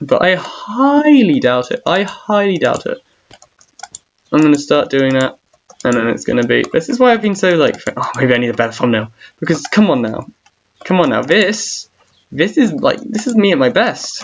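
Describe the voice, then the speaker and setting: Mumbled speech at a moderate pace. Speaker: gaming streamer. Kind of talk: casual live stream chat. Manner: mumbling.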